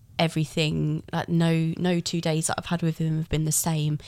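A woman with an English accent, her pitch very deep and low, at a moderate pace. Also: very clean recording, silent background. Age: 30s. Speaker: first-time mother. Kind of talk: casual interview.

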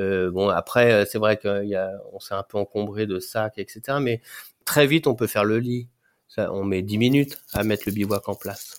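On a very clean recording with a silent background, a man speaks at a fairly low pitch and fairly slow pace with fairly even intonation, the sound dry and close with no echo. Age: 40s. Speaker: overland traveller on a world tour with family. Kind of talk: casual interview. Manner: halting, many hesitations and repetitions.

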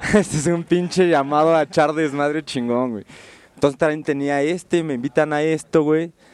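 A man with an unremarkable speaking voice talks at a moderate pace and a fairly high pitch. His intonation is fairly even. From Mexico City. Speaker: graffiti artist and illustrator. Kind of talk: casual interview. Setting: radio studio booth.

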